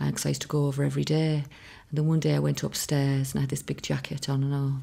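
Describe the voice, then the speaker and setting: Talking at a fairly quick pace, a woman speaks with a Connemara accent. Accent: Irish (Connemara). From Ireland, Connemara. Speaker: singer's daughter. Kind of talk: interview reminiscence.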